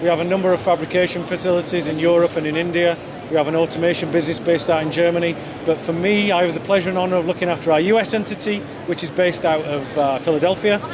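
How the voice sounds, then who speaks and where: Over noticeable background noise and audible room echo, a man speaks very fast. His high-pitched voice stays monotone and flat. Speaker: company executive. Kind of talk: interview. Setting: trade show booth.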